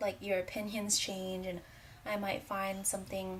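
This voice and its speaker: Soft-spoken and somewhat breathy delivery at a moderate pace. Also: woman. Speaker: beauty vlogger. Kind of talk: product review vlog.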